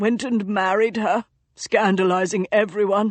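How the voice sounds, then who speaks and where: In a put-on character voice, a woman speaks with a raspy sound at a medium pitch, a moderate pace and fairly even intonation. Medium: read story. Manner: dry, amused.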